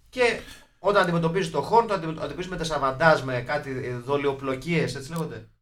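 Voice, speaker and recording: Room echo is audible as a man speaks. His pace is fairly quick and his pitch fairly high. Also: ordinary pitch variation. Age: 40s. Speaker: film podcast host. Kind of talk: casual chat.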